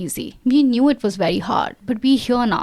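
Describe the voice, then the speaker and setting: A woman's high-pitched voice at a moderate pace, lively intonation, with noticeable background noise. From India, Delhi. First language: not English (Indian language). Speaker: AI specialist. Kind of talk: interview.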